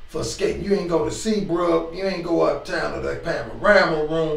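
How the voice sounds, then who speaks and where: Amid noticeable background noise, a man keeps to a moderate pace. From Washington DC. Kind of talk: interview answer. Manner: casual, hesitant.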